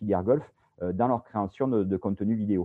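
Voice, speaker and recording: In a southern French accent, a man talks at a moderate pace with a fairly low pitch and ordinary pitch variation. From Bouches-du-Rhône, southeastern France. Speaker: video production company founder, former sports journalist. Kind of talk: interview. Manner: hesitant, many repetitions.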